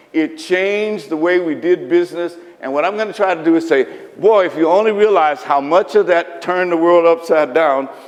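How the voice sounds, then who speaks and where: A man talks at a moderate pace in a high pitch with ordinary pitch variation. Noticeable background noise runs under his voice. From eastern Kentucky (Lynch, Appalachia). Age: 70s. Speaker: historian and author. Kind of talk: public lecture. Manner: conversational, folksy.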